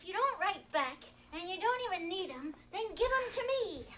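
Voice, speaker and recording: A woman puts on a character voice at an extremely high pitch, with very wide pitch swings and big swings in loudness. She keeps a moderate pace over clear background noise. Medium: stage play. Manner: dry, understated.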